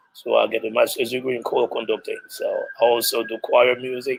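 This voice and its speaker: A man with a Haitian accent speaks at a fairly quick pace, recorded with a dry, close sound and no echo. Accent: Haitian Creole-accented English. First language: Haitian Creole. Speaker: music teacher and choir conductor. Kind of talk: interview. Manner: halting.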